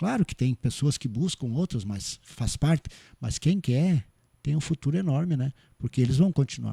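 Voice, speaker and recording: A man with a dark, mellow tone and a somewhat breathy voice talks at a moderate pace, his intonation lively. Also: fairly high pitch for a man. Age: 60s. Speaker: cooperative bank president. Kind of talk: podcast interview. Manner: halting, many repetitions and fillers.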